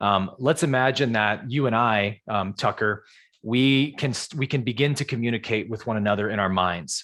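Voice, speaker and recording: A man with an American accent has an unremarkable speaking voice, medium pitch, ordinary pitch variation and a moderate pace. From US West Coast, San Jose California. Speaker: spiritual teacher. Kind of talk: live Q&A on a video call.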